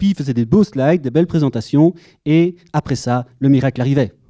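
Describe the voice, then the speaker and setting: A man with a slight Belgian accent speaks at a fairly quick pace in a fairly high pitch. His tone is dark and mellow, and the sound is dry and close with no echo. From Belgium. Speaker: conference speaker, data architect. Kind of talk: conference talk. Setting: conference room with audience. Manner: humorous, conversational.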